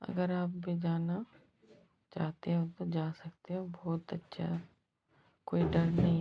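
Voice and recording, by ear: The voice is hoarse with a slightly husky edge and vocal fry, moving slowly with little pitch movement. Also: woman.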